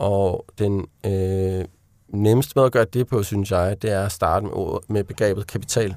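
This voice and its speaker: The very clean recording has a silent background. A man talks at a fairly slow pace with a fairly low pitch and fairly even intonation. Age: 30s. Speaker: author. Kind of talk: interview. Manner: halting.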